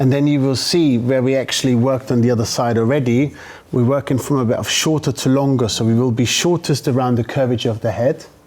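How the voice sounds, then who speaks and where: With a German accent, a man rattles along at a very fast pace, his medium-pitched voice carrying fairly even intonation. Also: very even loudness. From Germany. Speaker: hairdresser. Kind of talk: live demonstration; casual interview.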